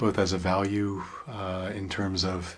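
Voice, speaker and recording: A man speaks in a playful tone. His voice sits very deep and low. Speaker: radio artist and voice performer. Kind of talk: interview answer. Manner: thoughtful, playful with words.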